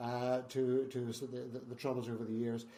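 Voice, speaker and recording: A man speaks with a Northern Irish accent. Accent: Northern Irish (Belfast). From Northern Ireland, Belfast. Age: 70s. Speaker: founder of a trauma charity. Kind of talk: interview.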